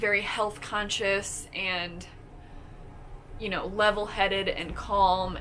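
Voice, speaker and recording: Very slowly, a woman talks while noticeable background noise runs underneath. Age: 20s. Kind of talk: casual talk to camera.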